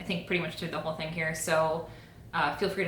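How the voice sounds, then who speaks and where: Noticeable background noise and audible room echo surround this woman's speech. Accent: Ohio. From Ohio, US. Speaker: knitting and crochet YouTuber. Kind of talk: casual chat.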